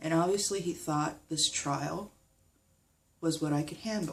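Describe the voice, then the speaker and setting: This woman's pitch is fairly low, with fairly even intonation. She speaks at a moderate pace. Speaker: vlogger. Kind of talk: personal vlog update. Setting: recording at home. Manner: halting.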